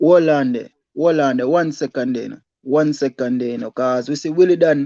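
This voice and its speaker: A speaker with a Jamaican accent talks at a fairly quick pace against a quiet background. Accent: Jamaican patois-inflected English. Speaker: livestream co-host. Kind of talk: casual debate on livestream.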